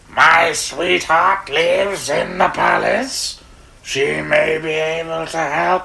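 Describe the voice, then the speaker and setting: In a put-on character voice at a middle pitch, the words come at a very slow pace. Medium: read story.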